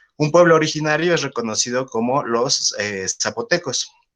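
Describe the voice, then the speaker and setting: Lively intonation carries this man's speech at a fairly slow pace. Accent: Mexico City. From Mexico City. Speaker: biologist. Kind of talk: lecture. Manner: hesitant, many fillers.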